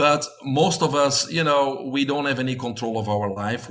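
Against noticeable background noise, a man speaks with a Belgian accent. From Belgium. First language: Dutch. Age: 50s. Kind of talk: interview.

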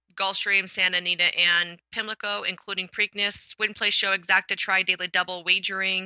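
A woman with a medium pitch speaks in a normal speaking voice with fairly even intonation. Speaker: podcast co-host. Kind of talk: casual chat.

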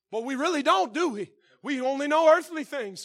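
With a Southern US accent, a man speaks with lively intonation on a very clean recording with a silent background. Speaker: pastor. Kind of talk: sermon. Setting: church. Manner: loud.

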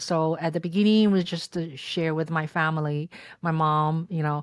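A woman speaks with a Chinese accent at a fairly low pitch. The recording is very clean, with a silent background. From China, Shanghai. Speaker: content creator and filmmaker. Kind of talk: interview. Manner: halting.

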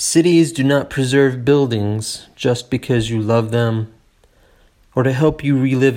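Here a man talks at a fairly slow pace with fairly even intonation. He has an ordinary speaking voice. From Appalachian Tennessee, US South. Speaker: poet reading own work. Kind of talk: poem reading, performed aloud. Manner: measured, reflective, lyrical reading pace.

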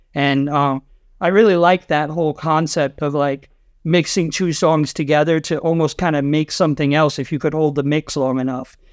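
Using a normal speaking voice, a man with an American accent talks at a moderate pace, fairly high in pitch, with fairly even intonation. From Rhode Island, US. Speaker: DJ. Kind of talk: casual chat.

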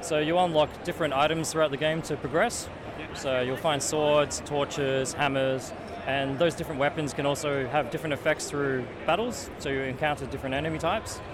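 A man talks at a fairly quick pace with a fairly high pitch and fairly even intonation. Noticeable background noise is present. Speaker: indie game developer. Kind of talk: interview. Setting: convention show floor.

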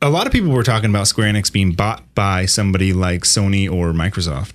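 Talking at a fairly quick pace, a man has an unremarkable speaking voice. His pitch sits fairly low. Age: 30s. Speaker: video game podcast co-host. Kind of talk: casual chat.

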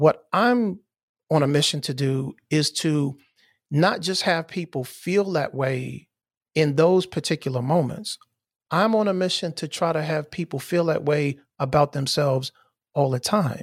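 In a normal speaking voice, a man talks at a fairly slow pace with a fairly high pitch and ordinary pitch variation, on a very clean recording with a silent background and a dry, close sound with no echo. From US Mid-Atlantic (Maryland, DC area). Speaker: podcast host. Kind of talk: casual interview conversation.

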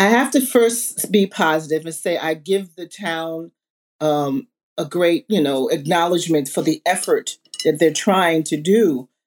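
With a plain, everyday voice, a woman with an American accent speaks at a fairly slow pace, using lively intonation and a fairly low pitch, in a very clean recording with a silent background and a dry, close sound with no echo. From Southampton, Long Island, New York. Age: 60s. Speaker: museum founder and community advocate. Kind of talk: panel discussion.

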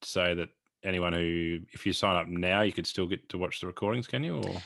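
Against a quiet background, a man with an Australian accent speaks in a very deep, low pitch with monotone, flat intonation. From Australia, northwest Victoria. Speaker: sheep genetics consultant and podcast host. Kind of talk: casual interview conversation.

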